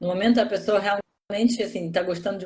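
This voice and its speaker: A woman talks at a fairly quick pace in a somewhat breathy voice. Her pitch is medium, with ordinary variation. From Russia. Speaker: interview guest. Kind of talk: interview conversation. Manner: halting.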